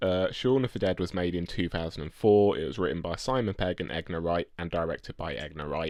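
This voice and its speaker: A man with a very deep, low voice talks fairly quickly. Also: ordinary pitch variation. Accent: English. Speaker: podcast co-host. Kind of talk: casual chat. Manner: halting.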